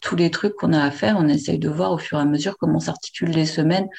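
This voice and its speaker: A woman with a fairly low pitch speaks with vocal fry and ordinary pitch variation. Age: 40s. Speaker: meet-up organizer, guest on polyamory. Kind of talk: casual interview. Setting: remote call by computer.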